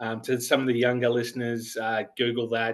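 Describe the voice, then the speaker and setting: Here a man talks with an Australian accent. He keeps a moderate pace. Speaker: sports writer. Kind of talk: podcast interview. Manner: hesitant, many fillers.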